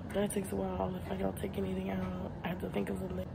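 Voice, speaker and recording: A woman's voice comes through noticeable background noise. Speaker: vlogger. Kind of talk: casual vlog chat. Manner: slow, low-energy talk lying down. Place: home room. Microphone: phone near.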